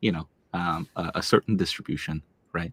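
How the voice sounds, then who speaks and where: Someone with a Korean accent is heard in a very clean recording with a silent background, the sound dry and close with no echo. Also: man. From South Korea (Seoul), moved to Tennessee at ten. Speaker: tech startup founder and CEO. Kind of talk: interview. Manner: frequent fillers, conversational.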